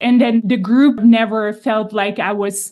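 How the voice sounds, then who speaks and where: In a Czech accent, the speaker uses a dark, mellow tone and fairly even intonation at a fairly slow pace, with a quiet background. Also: woman. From Czech Republic. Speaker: podcast host. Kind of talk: interview.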